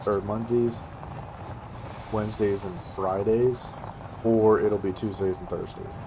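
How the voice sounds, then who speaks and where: A man's flat, monotone voice at medium pitch, with audible room echo and noticeable background noise. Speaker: gaming youtuber. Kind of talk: gameplay commentary. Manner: casual, hesitant with fillers.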